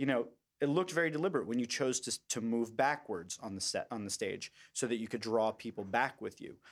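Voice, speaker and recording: In a very clean recording with a silent background, a man talks at a fairly quick pace. He has a plain, everyday voice with ordinary pitch variation. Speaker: podcast host. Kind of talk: casual interview chat. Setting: studio, shared mic.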